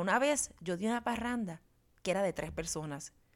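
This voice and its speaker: The tone is warm and animated, with lively intonation at a moderate pace. The recording is very clean, with a silent background. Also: woman. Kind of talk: solo podcast monologue. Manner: warm, animated.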